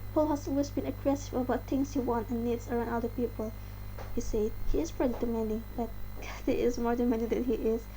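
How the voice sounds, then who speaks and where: With an Indonesian accent, a woman talks at a very fast pace and very even loudness. Audible room echo surrounds her voice. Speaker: channel host reading articles. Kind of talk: reading aloud.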